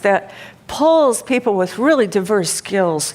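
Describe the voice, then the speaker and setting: This woman has an unremarkable speaking voice, medium in pitch and moderate in pace. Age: 60s. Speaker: keynote speaker and interaction design pioneer. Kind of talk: conference keynote talk.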